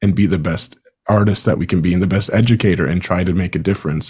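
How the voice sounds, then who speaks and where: A man talks with ordinary pitch variation in a very deep, low register. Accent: Maritime Canadian. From Canada, Prince Edward Island. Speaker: band conductor and podcast host. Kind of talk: casual chat.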